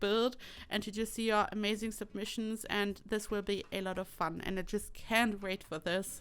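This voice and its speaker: A woman with a German accent and a fairly high pitch. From Germany. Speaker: YouTuber, Sims builder. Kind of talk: voiceover commentary. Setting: home desk.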